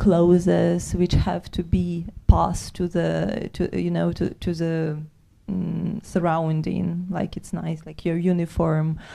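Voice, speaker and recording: A woman talks at a fairly slow pace with a Ukrainian accent. Her fairly low voice has a dark, mellow tone. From Ukraine. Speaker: soldier and poet. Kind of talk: panel talk. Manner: halting.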